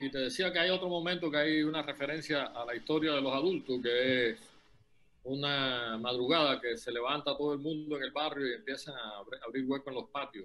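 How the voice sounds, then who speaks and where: Fairly high-pitched man with a bright, sharp tone, ordinary pitch variation and a fairly quick pace. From Cuba. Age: 60s. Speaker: novelist. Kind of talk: interview. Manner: halting.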